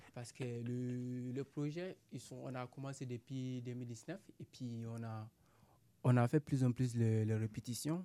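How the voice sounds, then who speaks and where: A man speaks at a very slow pace in a medium pitch, his intonation fairly even. His tone is dark and mellow, with big swings in loudness. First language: not French (speaking French). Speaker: amateur actor, migrant. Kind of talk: interview. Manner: halting, broken French.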